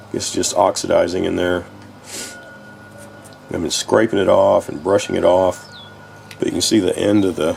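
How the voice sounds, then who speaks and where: The delivery has a moderate pace broken by long, frequent pauses. Noticeable background noise fills the recording. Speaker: small engine repairer. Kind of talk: casual repair walkthrough.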